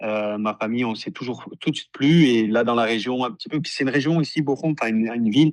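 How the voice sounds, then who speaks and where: Over a quiet background, a man with a medium pitch and ordinary pitch variation speaks very fast with hardly any pauses. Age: 30s. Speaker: professional footballer. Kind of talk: interview. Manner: halting, many repetitions and fillers.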